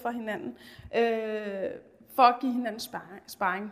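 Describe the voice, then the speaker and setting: A woman talks at a fairly slow pace. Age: 30s. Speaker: teacher. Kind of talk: presentation. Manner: halting.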